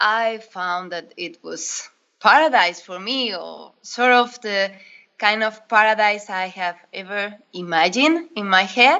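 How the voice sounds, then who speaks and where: Her voice fairly high, a woman with a Spanish accent speaks at a fairly slow pace with ordinary pitch variation. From northern Spain. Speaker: diving instructor. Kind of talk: interview. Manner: hesitant, non-native phrasing.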